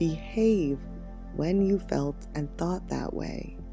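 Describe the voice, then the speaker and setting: A soft-spoken woman at a very slow pace, with music in the background. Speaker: meditation guide. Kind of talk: guided meditation.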